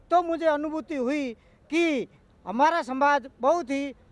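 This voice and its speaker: The sound is dry and close, with no echo. A man talks with ordinary pitch variation. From Rajasthan, Barmer desert region. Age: 60s. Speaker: activist. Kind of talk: interview. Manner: halting.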